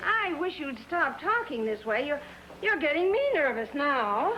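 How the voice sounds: Using a put-on character voice, a woman speaks at a fairly slow pace and a high pitch, with big pitch swings and a bright, sharp tone over faint background noise.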